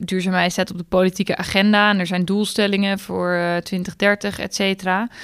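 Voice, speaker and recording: On a very clean recording with a silent background, a woman of medium pitch speaks at a moderate pace in a monotone, flat delivery with hardly any pauses. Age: 20s. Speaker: finance blogger. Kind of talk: casual chat.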